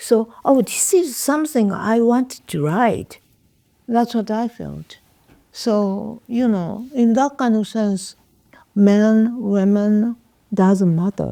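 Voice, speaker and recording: Speaking very slowly with long, frequent pauses, a woman with a Japanese accent uses a fairly high pitch, a dark, mellow tone and ordinary pitch variation. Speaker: poet and writer. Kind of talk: interview. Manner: halting.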